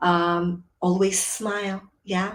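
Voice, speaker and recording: In a Filipino accent, a woman speaks at a medium pitch with monotone, flat intonation. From Philippines. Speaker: etiquette and cabin crew trainer. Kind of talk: webinar presentation. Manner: filler words.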